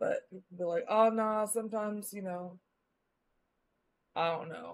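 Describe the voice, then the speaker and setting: Speaking at a fairly slow pace, a woman keeps a medium pitch and fairly even intonation. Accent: slight Southern US. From US Midwest, Missouri. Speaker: live streamer. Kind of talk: casual chat. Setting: live stream. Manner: casual, rambling speech with many fillers.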